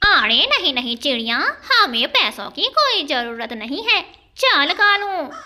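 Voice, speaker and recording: A woman puts on a cartoonish character voice, high-pitched with very wide pitch swings. She speaks fairly slowly. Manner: greedy, wheedling.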